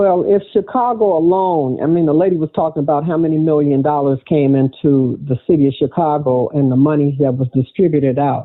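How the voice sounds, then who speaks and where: Talking at a fairly quick pace with hardly any pauses, a man has a plain, everyday voice at a fairly high pitch, with very even loudness and ordinary pitch variation. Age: 60s. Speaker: round table panelist. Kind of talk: round table discussion.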